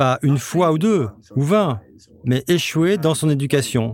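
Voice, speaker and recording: This man talks fairly slowly, his intonation lively. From Spain, near Valencia. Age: young. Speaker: interviewee. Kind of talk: interview testimony.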